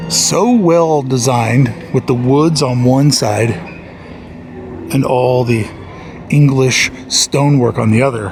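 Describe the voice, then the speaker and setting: A man talks at medium pitch and a very slow pace, with long, frequent pauses. Background noise is noticeable. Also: ordinary pitch variation. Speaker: theme park vlogger. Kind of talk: walking vlog narration. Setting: outdoors in theme park. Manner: loud.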